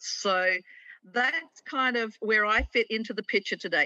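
A woman with an Australian accent has a bright, sharp tone and lively intonation, recorded dry with no echo against a quiet background. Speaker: conservation liaison and author; guest. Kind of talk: interview. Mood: warm, enthusiastic. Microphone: video call.

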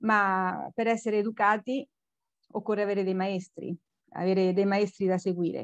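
A woman of medium pitch speaks at a moderate pace with fairly even intonation, the sound dry with no echo and the background quiet. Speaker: cultural center organizer. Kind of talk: formal welcome speech. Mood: warm, smiling. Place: home room. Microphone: video call.

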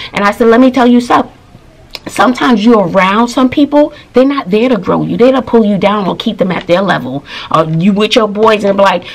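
With lively intonation, a woman talks at a fairly quick pace. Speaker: teacher, vlogger. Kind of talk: casual vlog storytelling. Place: home room. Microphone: phone near.

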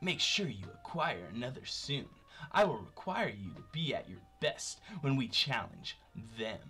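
The speaker uses a put-on character voice at a moderate pace, with very wide pitch swings. Faint music plays in the background. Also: man, medium pitch for a man. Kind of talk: reading game dialogue aloud. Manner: suave.

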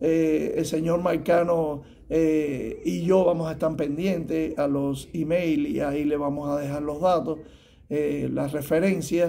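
A man at a fairly high pitch and a very slow pace, dark and mellow in tone, with monotone, flat intonation and light background noise. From Cuba. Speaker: tax preparer; guest. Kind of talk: advice talk to camera. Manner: halting, many fillers. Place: office. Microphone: phone near.

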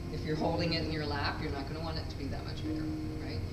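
Background music accompanies a woman as she talks. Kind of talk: gallery talk. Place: hall.

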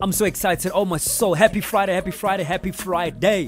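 Loud music plays in the background. A man speaks, and the sound is dry with no echo. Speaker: radio presenter. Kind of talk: radio show presenter demo. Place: studio. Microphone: studio mic.

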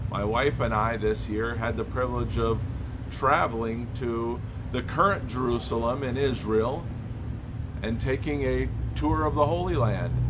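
Noticeable background noise runs under speech delivered at a fairly slow pace. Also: man. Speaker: church pastor. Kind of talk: devotional sermon. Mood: calm, warm, hopeful. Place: street. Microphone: phone near.

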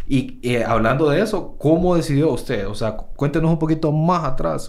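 In a room with audible echo, a man speaks at a fairly high pitch that swings very widely. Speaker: podcast host, entrepreneur. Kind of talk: casual interview chat.

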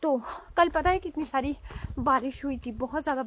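A high-pitched woman's voice with fairly even intonation, a dry sound with no echo, and light background noise. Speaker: village vlogger. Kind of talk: casual vlog chat. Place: open country. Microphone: phone near.

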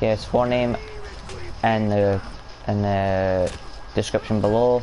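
In a Scottish accent, a man with a fairly low voice talks at a fairly slow pace with fairly even intonation over light background noise. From Scotland. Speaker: gaming streamer. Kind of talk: casual gaming chat. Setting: online voice chat. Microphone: headset.

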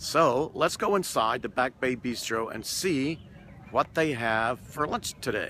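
With an American accent, a man speaks at a fairly slow pace and medium pitch with lively intonation, the sound dry with no echo and light background noise behind him. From US South. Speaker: food and travel vlogger; travel vlogger. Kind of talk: vlog restaurant review. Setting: on location at a restaurant. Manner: animated. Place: waterside. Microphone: phone near.

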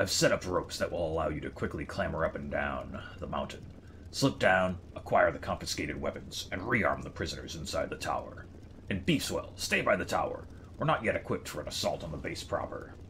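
Through clear background noise, a man uses a put-on character voice at a fairly quick pace. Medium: game stream. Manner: grim, relishing violence.

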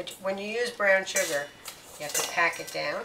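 Loud noise fills the background. The speech moves at a moderate pace. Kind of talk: tutorial. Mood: warm, encouraging. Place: kitchen. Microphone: phone near.

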